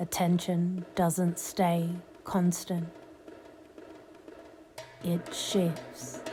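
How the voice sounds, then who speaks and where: Over music in the background, a woman speaks very slowly at a fairly low pitch in a monotone, flat intonation, leaving long, frequent pauses. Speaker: hypnotist. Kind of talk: hypnosis session. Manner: flat, unmelodic, no emotional tone; slow, rhythmic.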